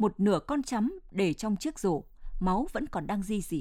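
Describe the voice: The intonation moves in a lively way. The delivery is plain reading aloud.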